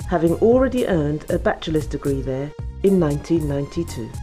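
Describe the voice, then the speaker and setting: Music plays in the background. The speaking pace is moderate. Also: woman. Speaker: documentary narrator. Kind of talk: documentary narration.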